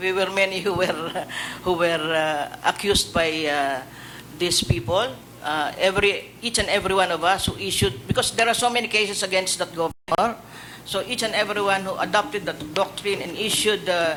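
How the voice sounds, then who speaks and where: A man talks at a fairly quick pace in a high-pitched, raised and projected voice. His pitch varies in an ordinary way. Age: 60s. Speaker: judge, judicial candidate. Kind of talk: public panel interview. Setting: hearing room. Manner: halting, many hesitations.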